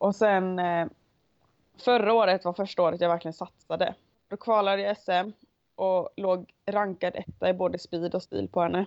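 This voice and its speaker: Woman's monotone, flat delivery at medium pitch. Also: moderate pace. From western Sweden, Onsala, Kungsbacka. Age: 20s. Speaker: Icelandic horse rider. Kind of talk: interview. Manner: hesitant, many fillers.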